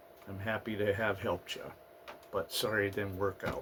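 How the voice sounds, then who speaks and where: A man speaks over noticeable background noise. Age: 50s. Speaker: vlogger. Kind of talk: casual vlog monologue. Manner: hesitant, many fillers.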